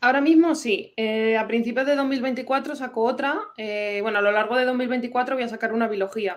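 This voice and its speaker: A woman's high-pitched voice at a fairly quick pace, with hardly any pauses. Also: ordinary pitch variation. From Madrid, Spain. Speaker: novelist and historian. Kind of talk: interview.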